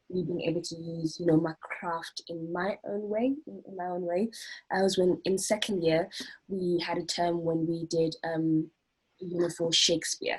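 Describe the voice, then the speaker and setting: Somewhat breathy speech at a moderate pace keeps a fairly even intonation while the loudness swings widely. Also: woman. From South Africa. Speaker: acting student. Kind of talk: group interview. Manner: halting, many fillers and repetitions.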